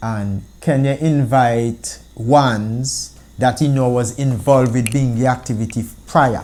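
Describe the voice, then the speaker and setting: With an Antiguan accent, a man speaks at a fairly slow pace and medium pitch in a dark, mellow tone, with fairly even intonation and hardly any pauses. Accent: Antiguan Creole. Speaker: founding member of a Rastafari organization. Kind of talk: interview answer.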